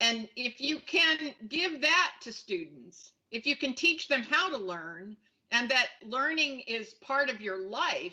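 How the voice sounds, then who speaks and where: A woman speaks at a fairly slow pace in a high, bright and sharp voice with lively intonation. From Japan. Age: 60s. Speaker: futurist and keynote speaker. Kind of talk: Q&A at an online conference presentation.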